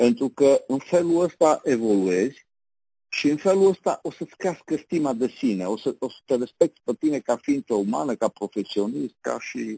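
Recorded with a dry, close sound and no echo, a man with a dark, mellow tone speaks at a moderate pace with very wide pitch swings. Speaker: business trainer and advisor. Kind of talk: casual interview.

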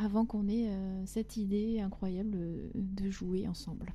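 A woman's somewhat breathy voice, dark and mellow in tone, at a fairly slow pace. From southwest France (Agen, Lot-et-Garonne). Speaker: singer-songwriter. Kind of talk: interview.

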